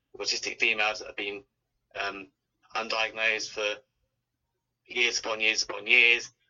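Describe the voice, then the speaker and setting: The speaker is a man. His voice falls at a medium pitch. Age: 20s. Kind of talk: interview. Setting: remote call.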